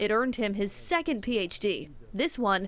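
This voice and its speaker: A woman with a normal speaking voice talks at a fairly high pitch. Her pace is moderate and her intonation lively. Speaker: TV news reporter. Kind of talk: TV news report narration.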